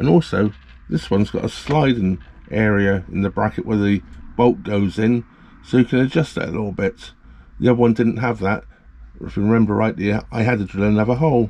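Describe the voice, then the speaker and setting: A man with a fairly low pitch and a normal speaking voice, fairly quick pace and ordinary pitch variation. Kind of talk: tutorial. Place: home room.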